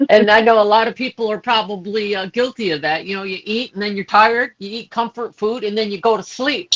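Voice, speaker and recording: A woman with a plain, everyday voice, fairly high in pitch, speaks at a fairly quick pace with fairly even intonation, in a dry, close sound with no echo. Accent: American. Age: 60s. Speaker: health product distributor. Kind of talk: testimony. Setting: social media live video.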